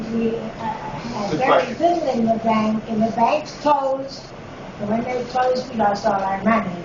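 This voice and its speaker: A woman's fairly high voice, with ordinary pitch variation, is heard over noticeable background noise. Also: moderate pace. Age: 80s+. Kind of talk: interview answer. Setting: classroom.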